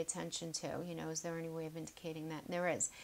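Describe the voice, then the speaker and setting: Pitched fairly low, the woman speaks with an American accent. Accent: New York accent noticed by viewers. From New York (Queens). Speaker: tarot reader. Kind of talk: tarot reading video. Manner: casual, chatty.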